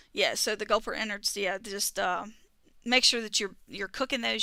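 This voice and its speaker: With a strong Southern US accent, a woman speaks at a fairly high pitch in a bright, sharp tone, on a very clean recording with a silent background. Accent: thick southern. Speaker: gaming streamer. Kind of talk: casual chat. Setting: live stream. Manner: words run together; fast.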